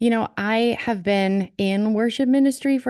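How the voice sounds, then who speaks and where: A woman with a slight Minnesotan accent, ordinary pitch variation, and a quiet background. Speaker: worship leader. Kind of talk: casual chat.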